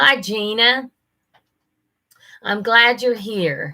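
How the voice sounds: The pace is fairly slow as a woman talks. She has a bright, sharp tone.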